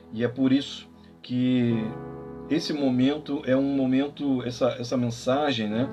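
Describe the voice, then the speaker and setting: Over background music, a man talks at a medium pitch and a fairly slow pace, his loudness very even and his intonation fairly even. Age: 40s. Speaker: pastor. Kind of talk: sermon. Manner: calm, measured.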